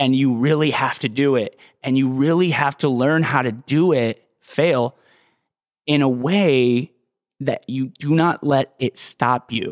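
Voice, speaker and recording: A man has an unremarkable speaking voice, fairly high in pitch, with fairly even intonation and very even loudness at a fairly slow pace. The sound is dry and close, with no echo. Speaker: fitness podcast host. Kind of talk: solo monologue, motivational fitness talk with a ranting, profane edge; solo podcast monologue. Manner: informal, rambling, profanity-heavy.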